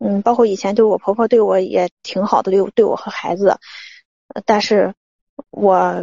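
A woman speaks quietly at a moderate pace. Her intonation is fairly even. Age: 30s. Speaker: caller seeking marriage advice. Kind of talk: phone-in advice call. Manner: halting, many fillers; quiet, muffled.

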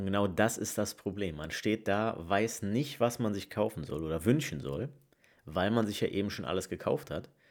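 On a very clean recording with a silent background, a man with an unremarkable speaking voice talks at a moderate pace, fairly low in pitch, with lively intonation. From Rhineland, Leverkusen. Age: 20s. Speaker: podcast host. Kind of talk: casual monologue.

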